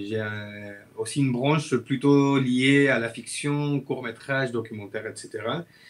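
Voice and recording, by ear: A man with a Chilean accent speaks at a fairly slow pace, with few pauses and ordinary pitch variation.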